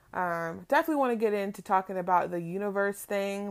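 Here is a woman with an American accent and an ordinary speaking voice, talking at a fairly quick pace. Her pitch variation is ordinary, and the recording is very clean with a silent background. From California, Palm Springs. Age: 20s. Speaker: podcast host. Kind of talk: casual monologue. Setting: in bed at home.

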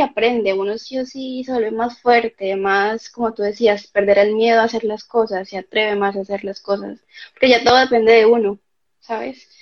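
This is a plain, everyday voice from a woman with a fairly high pitch. She keeps a moderate pace and fairly even intonation. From Colombia, Cali. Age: 20s. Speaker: architect and former au pair. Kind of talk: interview.

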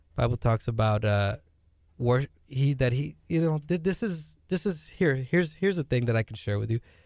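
A man with an American accent speaks in an unremarkable speaking voice at a medium pitch, with lively intonation and very even loudness, recorded dry and close with no echo on a very clean track with a silent background. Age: 30s. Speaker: musician. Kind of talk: casual chat. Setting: studio.

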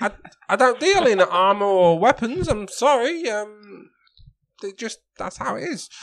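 A man puts on a character voice. It sits high and makes very wide pitch swings. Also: moderate pace, big swings in loudness. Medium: actual play. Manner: hesitant, lots of ums and stammering.

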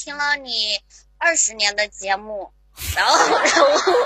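Over noticeable background noise, a woman speaks very slowly in a raised, projected voice. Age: 30s. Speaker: caller, show fan. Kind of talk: flirtatious banter call-in. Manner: giggly.

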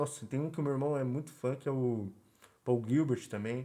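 A man's dark, mellow voice at a fairly quick pace, with fairly even intonation. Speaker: podcast co-host. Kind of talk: casual chat.

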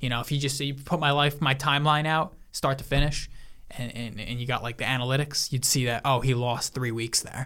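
Using an ordinary speaking voice, a man talks at a fairly quick pace with medium pitch and fairly even intonation. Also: very clean recording, silent background. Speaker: podcast co-host. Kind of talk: casual banter between friends.

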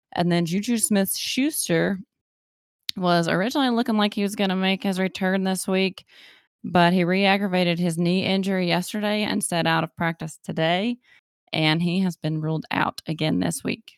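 With a slight Appalachian accent, a woman speaks at medium pitch and a moderate pace with ordinary pitch variation and very even loudness, in a very clean, dry, close recording with no echo and a silent background. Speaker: podcast co-host. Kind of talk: casual chat.

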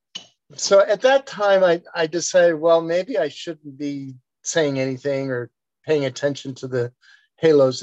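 A man has an ordinary speaking voice, fairly high in pitch, with lively intonation and a moderate pace. The sound is dry and close with no echo, over a quiet background. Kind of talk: casual chat, personal story. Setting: video call.

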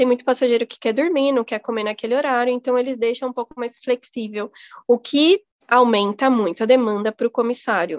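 A woman's high-pitched voice at a fairly quick pace, with ordinary pitch variation and a dry, close sound with no echo. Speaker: flight attendant. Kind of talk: casual interview. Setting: remote call.

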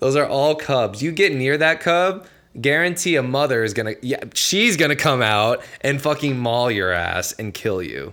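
Speaking at a moderate pace with hardly any pauses, a man with an American accent uses a fairly high, bright, sharp voice, lively intonation and an animated tone. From New Jersey. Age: 20s. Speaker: podcast guest. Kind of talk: casual chat.

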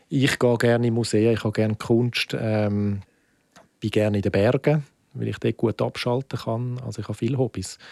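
Here is a man with a normal speaking voice, medium-pitched and at a moderate pace. His intonation stays fairly even, and the sound is dry and close with no echo. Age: 40s. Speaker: film festival director. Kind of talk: interview.

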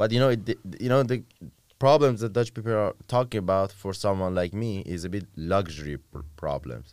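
A man speaks at a moderate pace in a fairly low voice with lively intonation. It is a plain, everyday voice. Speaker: podcast co-host. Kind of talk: casual chat.

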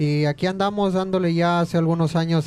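A man at a fairly high pitch, fairly even intonation, an ordinary speaking voice. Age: 20s. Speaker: music student and folk musician. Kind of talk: casual chat. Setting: restaurant, live stream.

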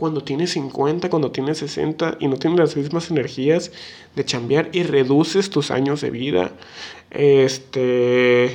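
A man speaks with a Mexican accent. His pace is fairly slow. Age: 19. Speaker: podcast co-host. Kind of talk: casual chat. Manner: halting, many fillers and repetitions.

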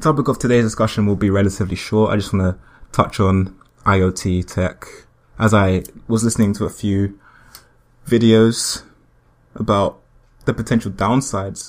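Pausing long and often, a man with a fairly low pitch speaks at a moderate pace with fairly even intonation. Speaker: solo podcaster. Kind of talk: casual monologue.

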